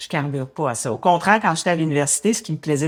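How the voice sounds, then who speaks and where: This woman's pitch is very deep and low, her pace fairly quick. The recording is very clean, with a silent background. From Quebec, Montreal area. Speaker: cycling advocate. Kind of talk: interview. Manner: halting.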